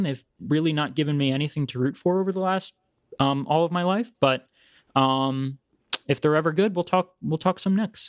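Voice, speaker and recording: The sound is dry and close with no echo as a man with a normal speaking voice talks at a fairly quick pace, a fairly high pitch and ordinary pitch variation. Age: 20s. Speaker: podcast co-host, actor. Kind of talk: casual chat.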